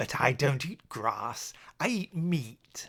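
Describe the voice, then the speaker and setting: A man puts on a character voice at a fairly high pitch. He speaks very slowly. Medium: read story.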